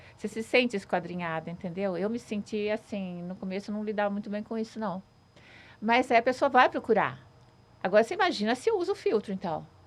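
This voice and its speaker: Here is a woman with a normal speaking voice and a fairly high pitch. She talks at a fairly quick pace with lively intonation. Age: 60s. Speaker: social media influencer. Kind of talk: casual chat.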